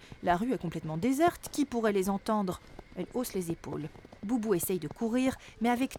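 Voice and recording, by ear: Someone reads a passage aloud, using a natural voice.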